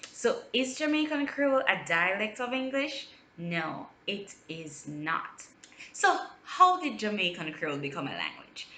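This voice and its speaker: A woman talks at a fairly slow pace with a fairly high pitch. Her pitch swings very widely over noticeable background noise. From Jamaica. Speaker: linguist. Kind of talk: educational talk to camera.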